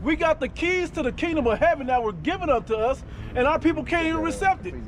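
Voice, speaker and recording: Loud and at an extremely high pitch, a man speaks at a very fast pace with lively intonation over noticeable background noise. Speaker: street preacher. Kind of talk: street preaching. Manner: animated.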